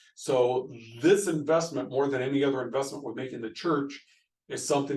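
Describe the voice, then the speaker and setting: A man speaks at medium pitch with audible room echo. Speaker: pastor. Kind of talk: recorded video presentation to church board. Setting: screen-share video recording. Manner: fast.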